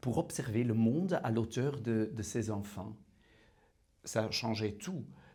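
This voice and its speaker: A man with a non-native accent speaks at a fairly slow pace and a medium pitch. His voice is somewhat breathy, with ordinary pitch variation. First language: Dutch (speaking French). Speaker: prison visitor. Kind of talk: testimony. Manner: halting.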